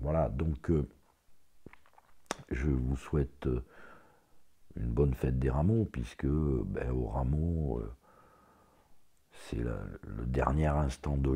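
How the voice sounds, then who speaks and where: Speaking at a very slow pace with long, frequent pauses, a man with a very deep, low pitch has a dark, mellow, somewhat breathy tone and ordinary pitch variation. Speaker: religious commentator on YouTube. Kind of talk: religious commentary monologue. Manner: halting.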